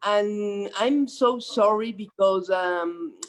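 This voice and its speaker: The speaker has a Mexican accent. Pitch variation is ordinary. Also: woman. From Mexico. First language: Spanish. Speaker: government official. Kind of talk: panel talk. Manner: halting.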